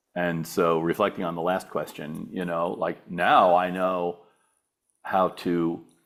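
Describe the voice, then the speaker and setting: Very deep and low, a man's voice comes through on a very clean recording with a silent background. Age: 60s. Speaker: business advisor. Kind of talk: interview. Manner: halting, many repetitions.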